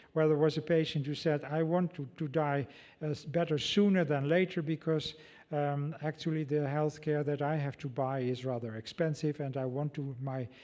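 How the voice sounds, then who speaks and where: A man with a Dutch accent speaks at a moderate pace in a fairly high pitch, his tone dark and mellow, over a quiet background. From Netherlands. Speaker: ethicist. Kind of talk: lecture Q&A. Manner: halting.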